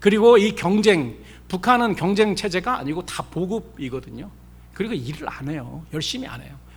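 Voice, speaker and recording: A man speaks at a moderate pace in a high voice with lively intonation and big swings in loudness. Room echo is audible. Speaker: pastor. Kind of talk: sermon.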